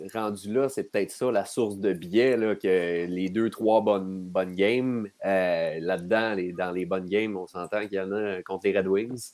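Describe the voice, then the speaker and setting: On a very clean recording with a silent background, a man with a plain, everyday voice speaks fairly slowly at a fairly low pitch. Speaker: hockey analyst. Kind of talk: casual chat.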